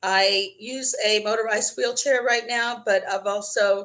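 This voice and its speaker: A woman with an American accent speaks at a fairly slow pace. Her tone is bright and sharp, and her intonation is fairly even. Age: 60s. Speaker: wheelchair user sharing experience. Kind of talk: interview.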